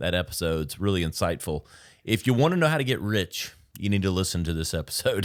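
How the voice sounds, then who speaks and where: A man with a Southern US accent, very deep and low in pitch, at a very fast pace with lively intonation, in a very clean recording with a silent background. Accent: light Southern US. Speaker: podcast host. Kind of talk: casual chat.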